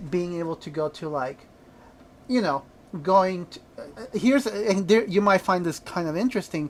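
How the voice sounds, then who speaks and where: A woman speaks at medium pitch with a Spanish accent. Her intonation is lively, and her loudness swings widely. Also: moderate pace. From El Salvador, then Riverside, California. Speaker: podcast co-host. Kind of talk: casual chat.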